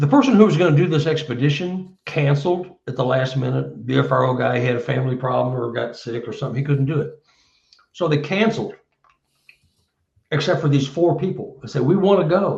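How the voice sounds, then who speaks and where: Vocal fry runs through a man's fairly high-pitched voice as he talks at a fairly quick pace with ordinary pitch variation. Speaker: Bigfoot researcher and author. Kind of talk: casual interview chat.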